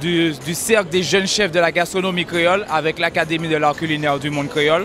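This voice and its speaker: Over noticeable background noise, a man speaks at a fairly quick pace and high pitch, his intonation fairly even. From Martinique. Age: 20s. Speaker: chef. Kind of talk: interview. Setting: food fair. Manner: hesitant.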